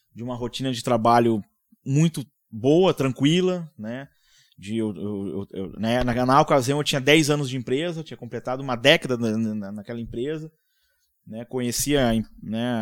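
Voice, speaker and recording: In a very clean recording with a silent background, a man of medium pitch talks at a moderate pace with ordinary pitch variation and big swings in loudness. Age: 40s. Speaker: tech company co-founder. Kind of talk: casual chat. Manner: halting.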